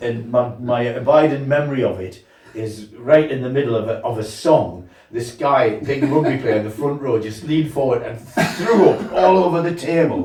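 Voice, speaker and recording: Amid noticeable background noise and audible room echo, a man with a fairly high pitch speaks at a moderate pace with lively intonation. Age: 70s. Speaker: folk singer. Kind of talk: casual chat. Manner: halting.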